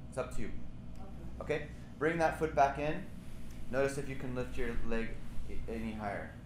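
Noticeable background noise sits behind a man's voice. He talks at a fairly quick pace but leaves long, frequent pauses. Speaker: yoga teacher. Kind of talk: guided somatic yoga class, live instruction. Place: gym. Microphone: camera far.

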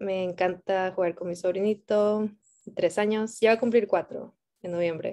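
Against a quiet background, a woman speaks at a moderate pace in a dark, mellow tone with ordinary pitch variation. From Mexico. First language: Spanish. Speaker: Spanish teacher. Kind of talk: bilingual self-introduction. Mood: warm, excited. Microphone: video call.

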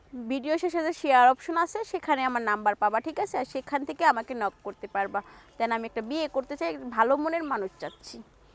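The sound is dry and close, with no echo. A woman speaks at a high pitch with very wide pitch swings. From Bangladesh, Narail. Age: 20s. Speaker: garment factory worker. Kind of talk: interview.

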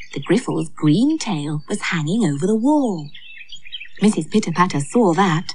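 Here is a woman with an ordinary speaking voice. Her pitch is fairly low and her intonation is lively. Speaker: storyteller and actor playing Aunt Flo. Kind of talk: storybook narration. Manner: gentle, lilting, expressive storyteller tone; warm and cheery as Aunt Flo.

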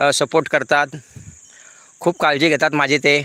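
A man's voice comes through bright and sharp, with a dry, close sound and no echo. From Pune, Maharashtra. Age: 50s. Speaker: YouTuber, retired banker. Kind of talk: live stream chat. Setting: outdoors on a farm. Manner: animated.

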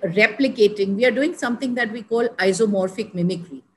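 A somewhat breathy woman's voice, fairly high in pitch, over light background noise. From India. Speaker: senior civil servant and development advisor; podcast guest. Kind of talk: interview conversation. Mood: calm, reflective. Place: home room. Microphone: video call.

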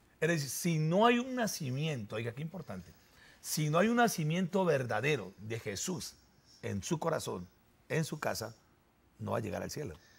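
A man talks at a moderate pace with very wide pitch swings. Vocal fry runs through his voice. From Colombia, Armenia (Quindío); Colombia. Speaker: pastor; pastor guest on religious talk show. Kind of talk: sermon-style talk show discussion. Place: studio. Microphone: lapel.

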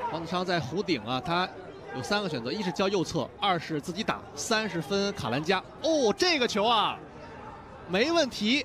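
A man talks at a moderate pace in an excited tone with a high pitch and very wide pitch swings. Noticeable background noise runs underneath. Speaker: football commentator. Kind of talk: live football commentary. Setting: broadcast commentary. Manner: excited, raised voice on goals.

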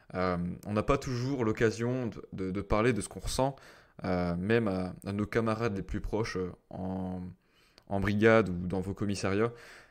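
A man speaks at a fairly slow pace with long, frequent pauses, his pitch fairly low with ordinary variation. The background is quiet. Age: 30s. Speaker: mental coach and former gendarmerie officer. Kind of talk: solo podcast monologue. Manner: hesitant, many fillers.

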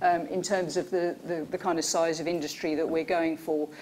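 A woman speaks at a moderate pace in a normal speaking voice with a fairly low pitch. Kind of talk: conference presentation.

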